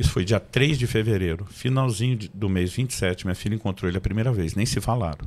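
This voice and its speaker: This man talks at a very fast pace with a fairly low pitch and ordinary pitch variation. The recording is very clean, with a silent background. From Brazil, Campinas (São Paulo). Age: 50s. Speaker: pastor and author. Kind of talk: interview podcast, testimony.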